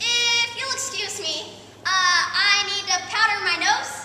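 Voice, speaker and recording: A woman puts on a squeaky character voice at an extremely high pitch. She speaks at a fairly slow pace over light background noise. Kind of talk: comic stage melodrama. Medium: stage play.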